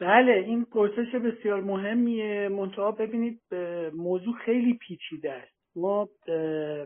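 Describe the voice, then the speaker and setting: A man speaks very slowly in a high voice, with ordinary pitch variation. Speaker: researcher and author on environmental political economy. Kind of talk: lecture. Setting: online audio room. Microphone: voice sometimes weak, connection dropouts.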